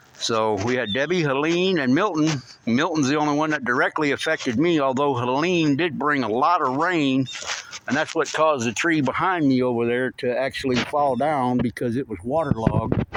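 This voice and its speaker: Noticeable background noise sits under speech delivered at a moderate pace with ordinary pitch variation. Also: man, fairly high pitch for a man. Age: 60s. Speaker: CB radio hobbyist vlogger. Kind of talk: casual video vlog.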